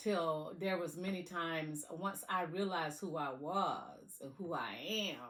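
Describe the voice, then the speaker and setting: Speaking in a Southern accent with an animated tone, a woman with a fairly low voice moves at a fairly slow pace with ordinary pitch variation, and audible echo fills the room. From US South. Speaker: motivational speaker. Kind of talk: motivational talk.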